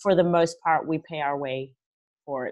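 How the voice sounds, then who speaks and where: A woman with an Australian accent speaks at a fairly low pitch with ordinary pitch variation. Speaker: interview host and goaltender development manager. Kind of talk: interview.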